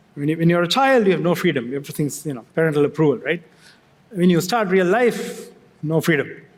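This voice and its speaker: Here a man speaks with a Sri Lankan accent at a very fast pace. His pitch is high and his intonation lively. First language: Sinhala. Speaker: tech company executive. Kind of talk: fireside chat on stage. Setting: stage with audience. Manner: halting, with many restarts.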